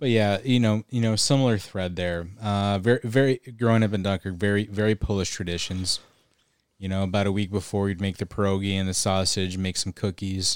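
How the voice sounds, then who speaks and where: A man with an American accent talks at a fairly quick pace with a fairly low pitch and fairly even intonation, in an unremarkable speaking voice. The very clean recording has a silent background and a dry, close sound with no echo. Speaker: podcast co-host. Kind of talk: casual chat.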